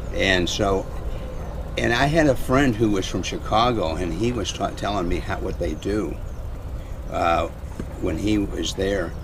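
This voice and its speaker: Over noticeable background noise, a man talks fairly slowly with lively intonation and long, frequent pauses. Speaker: passerby interviewee. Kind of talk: casual conversation. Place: open country. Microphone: camera far.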